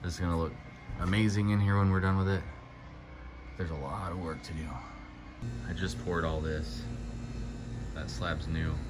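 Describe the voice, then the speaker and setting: With music in the background, the speaker goes at a fairly quick pace. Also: man, ordinary pitch variation. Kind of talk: casual vlog chat. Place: garage. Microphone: phone near.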